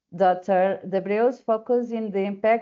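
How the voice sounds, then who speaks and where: A woman with a Portuguese accent at a moderate pace. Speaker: webinar moderator. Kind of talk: webinar introduction. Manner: halting.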